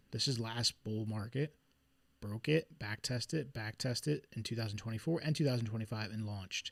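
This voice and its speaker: In a Philadelphia accent, a man speaks at a medium pitch and a moderate pace, somewhat breathy, with ordinary pitch variation on a very clean recording with a silent background. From Philadelphia, US. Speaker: trader streaming market analysis. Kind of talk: live stream chart analysis. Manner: casual, conversational.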